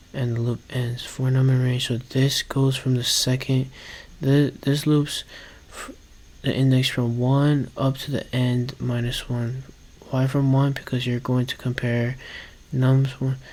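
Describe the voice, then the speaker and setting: Somewhat breathy, fairly slow, with monotone, flat intonation. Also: man, medium pitch for a man. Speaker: coding learner vlogger. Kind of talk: coding tutorial vlog. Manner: halting.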